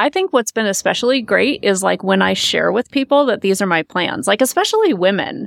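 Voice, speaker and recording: A woman's fairly high voice at a fairly quick pace, with lively intonation, vocal fry, hardly any pauses, very even loudness, and a dry, close sound with no echo. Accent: American. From US Midwest, Omaha, Nebraska. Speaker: financial coach. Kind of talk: casual interview.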